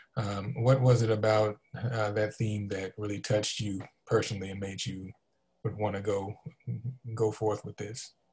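A man speaks at a moderate pace and fairly low pitch, somewhat breathy, with monotone, flat intonation. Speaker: museum community engagement director, moderator. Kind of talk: moderated panel discussion. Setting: video call. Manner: halting, many fillers. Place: home room. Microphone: video call.

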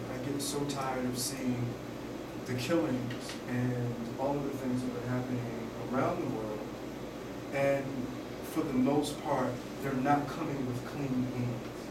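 Speech comes at a fairly slow pace with audible room echo. Loud background noise fills the recording. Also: man. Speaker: style expert and author. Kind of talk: lecture. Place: classroom. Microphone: camera far.

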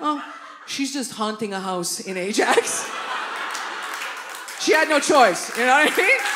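A woman uses a raised, projected voice at a high pitch, with very wide pitch swings and a fairly slow pace. Long, frequent pauses break her speech, with crowd noise in the background. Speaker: stand-up comedian. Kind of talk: live stand-up comedy set. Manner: animated, casual, profane. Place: stage. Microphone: handheld.

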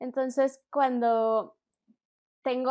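A woman talks at a fairly slow pace in a fairly high pitch. The background is quiet. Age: 30s. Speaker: children's story producer. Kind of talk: interview.

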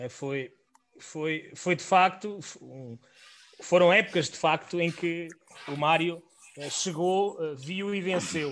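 A man with a European Portuguese accent speaks at a high pitch with ordinary variation. His pace is very slow, with long, frequent pauses. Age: 30s. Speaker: podcast host. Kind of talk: interview. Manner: halting.

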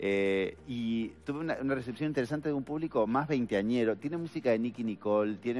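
Speaking at a fairly quick pace, a man with a fairly low pitch has a slightly mellow tone and lively intonation.

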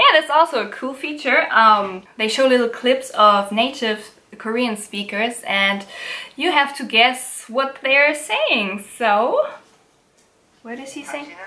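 A woman at a high pitch and very slow pace, with a German accent. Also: ordinary pitch variation, big swings in loudness. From Germany. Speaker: YouTuber. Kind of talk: tutorial. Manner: halting. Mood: relaxed, playful. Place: home room.

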